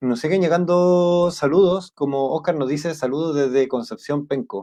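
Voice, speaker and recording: Fairly high in pitch, a man with a Chilean accent speaks at a moderate pace in a dark, mellow tone with ordinary pitch variation. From south-central Chile. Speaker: podcast host. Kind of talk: live interview.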